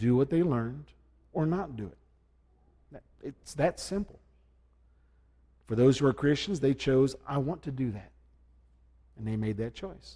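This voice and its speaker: A soft-spoken man at medium pitch, somewhat breathy, with a dark, mellow tone, lively intonation, big swings in loudness, a moderate pace and long, frequent pauses. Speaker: preacher. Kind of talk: church invitation talk. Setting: church. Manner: folksy, joking.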